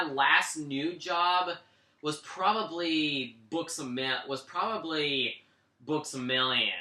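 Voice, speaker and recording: A man's voice over noticeable background noise. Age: 20s. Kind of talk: interview. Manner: halting, heavy repetition.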